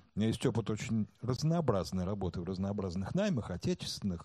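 A man is speaking. His tone is dark and mellow. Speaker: marketing director. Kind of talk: talk before a live audience.

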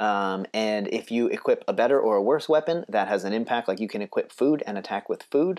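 With an unremarkable speaking voice, a man talks fairly quickly at a medium pitch with lively intonation on a very clean recording with a silent background. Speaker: podcast host. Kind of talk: casual podcast discussion about RPG design.

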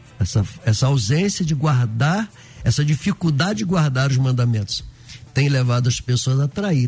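Somewhat breathy male speech at a moderate pace, with very wide pitch swings. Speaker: pastor.

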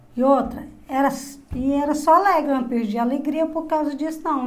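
A woman talks at a moderate pace in a room with audible echo. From Goiás, Brazil (interior). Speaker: interviewee, host's mother. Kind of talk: life story testimony.

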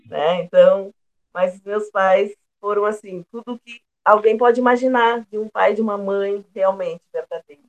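A woman with a plain, everyday voice speaks slowly-ish at a medium pitch and fairly even intonation, her loudness swinging widely in a dry, close sound with no echo. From southern Brazil, Pelotas, Rio Grande do Sul. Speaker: singer and retired teacher. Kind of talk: interview.

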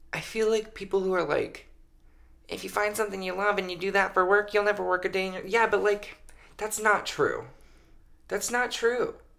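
A man speaks at a moderate pace in a raised, projected voice, pitched high for a man. His tone is bright and sharp, his intonation flat and monotone, with long, frequent pauses. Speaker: podcast co-host. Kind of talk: casual chat. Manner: loud.

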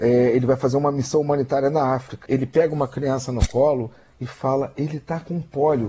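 The speaker goes at a moderate pace. The voice sounds somewhat breathy. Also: man. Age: old. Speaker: social media analyst and radio commentator. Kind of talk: radio news commentary. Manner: halting.

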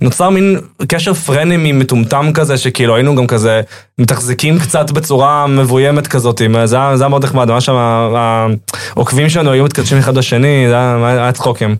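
In an ordinary speaking voice, a man talks at a moderate pace and medium pitch, with ordinary pitch variation and very even loudness. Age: 20s. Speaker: comedian and content creator. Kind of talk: casual chat.

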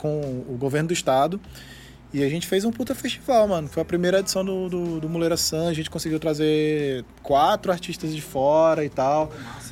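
This man has an unremarkable speaking voice, pitched fairly high, and he talks at a moderate speed. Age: 30s. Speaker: musician and studio owner. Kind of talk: casual chat. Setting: studio.

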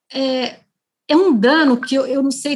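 A woman speaks at a very slow pace. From Brazil, interior of São Paulo state. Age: 50s. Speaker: federal prosecutor. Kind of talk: interview. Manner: halting, many fillers.

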